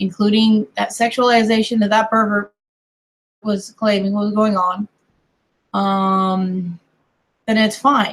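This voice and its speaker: In an American accent, the speaker's somewhat breathy, monotone voice moves at a very slow pace with long, frequent pauses. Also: woman, medium pitch for a woman. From US, mixed: Colorado, California, Kentucky family. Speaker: online streamer. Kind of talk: casual chat.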